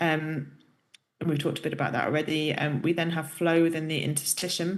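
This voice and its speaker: A woman with a British accent talks at a fairly quick pace in a very deep, low pitch. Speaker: professor. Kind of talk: lecture. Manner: hesitant, many fillers.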